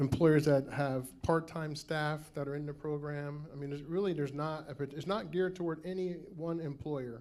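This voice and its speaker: With an American accent, a man with a fairly high pitch speaks at a moderate pace and fairly even intonation, and the room echo is audible. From New Jersey. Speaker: state program representative. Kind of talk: conference Q&A. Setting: conference room with audience.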